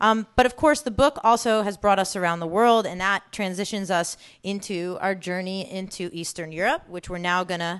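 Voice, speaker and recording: An ordinary speaking voice from a woman with an American accent, medium in pitch with ordinary pitch variation, at a moderate pace against a quiet background. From New York area. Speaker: food entrepreneur and cookbook author. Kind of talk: talk to an audience.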